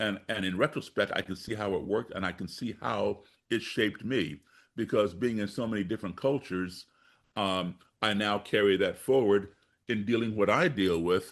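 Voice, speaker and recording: Fairly low in pitch, a man speaks at a moderate pace with ordinary pitch variation and an unremarkable speaking voice. The background is quiet. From grew up abroad and in the US (born Chicago). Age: 60s. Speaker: musician and race-relations activist. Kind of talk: podcast interview.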